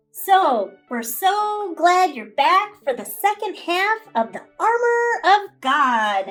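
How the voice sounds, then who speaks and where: Over music in the background, a woman puts on a cartoonish character voice at an extremely high pitch, upbeat in tone, with very wide pitch swings, a very slow pace and hardly any pauses. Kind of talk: children's puppet show Bible lesson. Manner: upbeat, encouraging.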